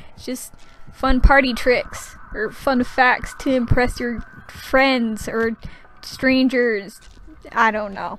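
The speech moves at a very slow pace with big swings in loudness. Noticeable background noise runs underneath. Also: woman, high pitch for a woman. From Canada. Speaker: gaming YouTuber. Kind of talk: casual voice-over commentary over gameplay. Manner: animated.

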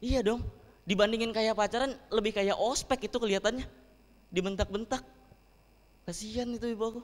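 In an animated tone, a man speaks with a high pitch. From Palembang, South Sumatra, Indonesia. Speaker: stand-up comedian. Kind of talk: stand-up comedy set with audience. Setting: live event with audience. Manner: animated, conversational, punchline-driven, with rhetorical tag questions like 'kan?'. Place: hall. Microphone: handheld.

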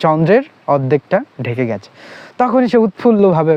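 The voice is a man's, fairly high in pitch. His pitch swings very widely. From Bangladesh, Khulna district (Koyra). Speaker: book reviewer / storyteller. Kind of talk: casual storytelling / book talk. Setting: outdoors, sitting by a haystack in village. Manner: halting.

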